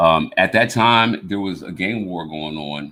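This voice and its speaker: In an animated tone, a man talks at a fairly low pitch with ordinary pitch variation. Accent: American. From US South (West Virginia, Alabama). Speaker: podcast host. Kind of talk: casual chat. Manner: animated, many repeated words and restarts.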